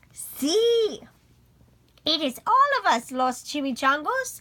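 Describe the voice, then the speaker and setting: A woman performs in a put-on character voice at a high pitch. She speaks at a very slow pace with very wide pitch swings. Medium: read story.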